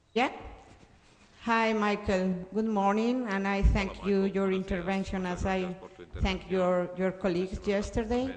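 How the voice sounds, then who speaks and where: A fairly slow pace with a Spanish accent. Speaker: social services worker, audience member. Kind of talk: audience question. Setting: conference hall.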